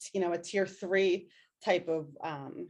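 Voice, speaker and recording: A woman with a Philadelphia accent speaks at a fairly slow pace. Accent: Philadelphia-area (Delco). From Delaware County, Pennsylvania (Delco). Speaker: educator presenter. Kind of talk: webinar presentation. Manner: casual, many fillers.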